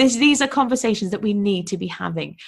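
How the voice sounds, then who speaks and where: A woman with a British accent talks at a very fast pace, her medium-pitched voice carrying lively intonation. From UK. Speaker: podcast host and online business coach. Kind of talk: solo podcast monologue. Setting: recording alone for podcast. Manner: casual, enthusiastic.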